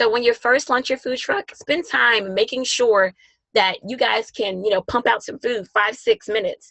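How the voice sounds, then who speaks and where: Animated in tone, a woman speaks at a fairly high pitch with ordinary pitch variation. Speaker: webinar presenter on food truck business. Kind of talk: webinar presentation. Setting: online webinar. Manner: fast.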